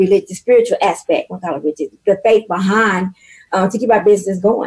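Her pace is fairly quick. The woman's pitch sits at a medium level. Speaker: inspirational speaker and author. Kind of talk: faith-based business interview. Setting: radio studio. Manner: loud and animated.

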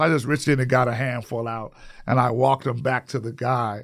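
A man speaks at a moderate pace. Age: 60s. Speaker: podcast host. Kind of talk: casual conversation interview. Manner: halting, filler words.

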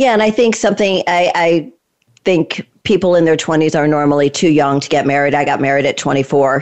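The speaker is a woman with an American accent and a very deep, low pitch. Her loudness stays very even. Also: lively intonation, moderate pace. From Connecticut. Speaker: podcast host. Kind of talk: casual interview.

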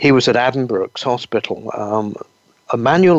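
Here is a man with an English accent. His pitch is medium and his pace moderate. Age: 60s. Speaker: naturopath. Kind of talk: interview.

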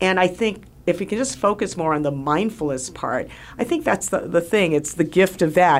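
This woman has an ordinary speaking voice with a fairly low pitch. She talks at a moderate pace with lively intonation. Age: 60s. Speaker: radio host and physician. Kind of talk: radio talk show monologue and interview. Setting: studio.

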